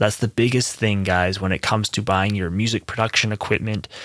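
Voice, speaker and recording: A man with an ordinary speaking voice talks at a fairly low pitch with ordinary pitch variation. The very clean recording has a silent background and a dry, close sound with no echo. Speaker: music producer and podcast host. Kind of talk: casual solo podcast monologue. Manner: conversational with many fillers. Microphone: testing new preamp on voice.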